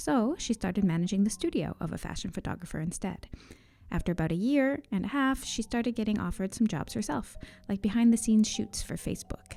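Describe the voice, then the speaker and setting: Very fast and somewhat breathy, a woman speaks at a fairly high pitch with a dark, mellow tone and lively intonation. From Newfoundland, Canada. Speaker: podcast host. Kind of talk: scripted narration.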